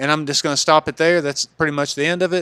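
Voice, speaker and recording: Recorded dry and close with no echo, a man talks at a fairly high pitch. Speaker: gaming YouTuber. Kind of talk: casual video commentary. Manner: halting, many repeated words.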